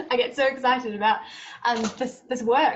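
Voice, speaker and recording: A woman with a British accent speaks at a fairly high pitch with ordinary pitch variation, over noticeable background noise. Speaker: lawyer working with trafficking victims. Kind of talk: panel talk. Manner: fast.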